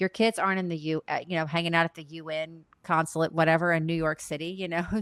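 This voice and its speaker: With an unremarkable speaking voice, a woman talks at a fairly low pitch and a fairly quick pace with fairly even intonation, recorded very cleanly against a silent background with a dry, close sound and no echo. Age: young. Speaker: podcast co-host. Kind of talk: casual chat.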